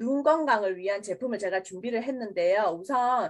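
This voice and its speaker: Lively intonation from a high-pitched woman on a very clean recording with a silent background. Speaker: product presenter. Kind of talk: sales pitch. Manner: casual, friendly.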